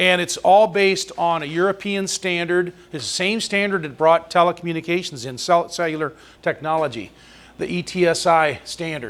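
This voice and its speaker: A man speaks loudly in a high pitch. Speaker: amateur radio presenter. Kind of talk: presentation.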